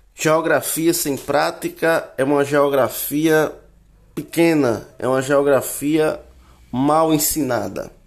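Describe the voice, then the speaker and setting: A man speaks at a very slow pace with fairly even intonation and a fairly high pitch. The recording is very clean, with a silent background. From Paraíba, Brazil (Alagoa Grande). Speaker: geography student. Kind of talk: personal presentation monologue. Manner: formal.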